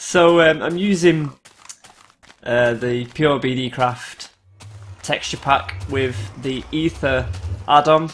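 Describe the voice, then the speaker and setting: Over music in the background, a man speaks with a British accent. His pitch is medium, with ordinary pitch variation. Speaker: gaming video creator. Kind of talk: gameplay commentary.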